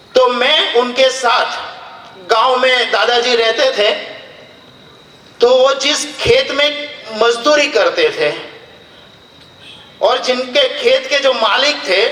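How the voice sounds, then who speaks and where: A man with a Gujarati accent uses an extremely high pitch and a raised, projected voice, keeping fairly even intonation, very even loudness and long, frequent pauses. Audible room echo and noticeable background noise fill the recording. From Gujarat, India (Dholka near Ahmedabad). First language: Gujarati (speaking Hindi). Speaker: public official and speaker. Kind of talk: public speech. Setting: stage with audience. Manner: formal.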